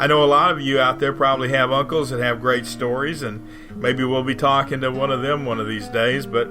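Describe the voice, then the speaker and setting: A man at medium pitch and fairly quick pace, fairly even intonation, with music in the background. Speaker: podcast host. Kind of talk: show intro.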